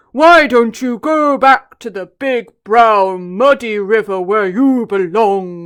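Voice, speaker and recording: A put-on character voice with a fairly high pitch speaks at a very slow pace on a very clean recording with a silent background. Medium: read story.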